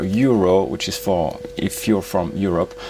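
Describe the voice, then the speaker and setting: A man with a French accent speaks at a fairly slow pace, with ordinary pitch variation. Noticeable background noise runs underneath. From France. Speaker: YouTuber, travel and finance reviewer. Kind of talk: product review. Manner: hesitant, many fillers.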